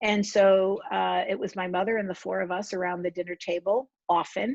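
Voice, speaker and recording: A woman with an American accent has an unremarkable speaking voice at medium pitch and a moderate pace. Her intonation is fairly even, and the sound is dry and close with no echo. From New Jersey, Somerset County. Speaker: author. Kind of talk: author talk.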